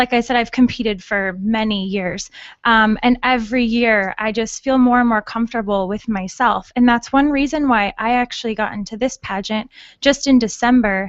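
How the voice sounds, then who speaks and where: With an American accent and a normal speaking voice, a woman talks at a moderate pace in a fairly high pitch with fairly even intonation. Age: 20s. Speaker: beauty pageant winner. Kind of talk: radio interview.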